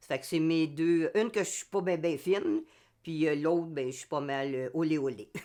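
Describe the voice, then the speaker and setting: A woman with a Quebec accent and a very deep, low pitch, dark and mellow in tone, at a moderate pace with ordinary pitch variation and big swings in loudness, over a quiet background. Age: 70s. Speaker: amateur theatre actor. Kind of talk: interview testimony. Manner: halting, many hesitations.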